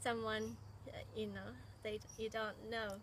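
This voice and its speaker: A woman talks with a Japanese accent. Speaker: former exchange student, teacher. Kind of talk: interview.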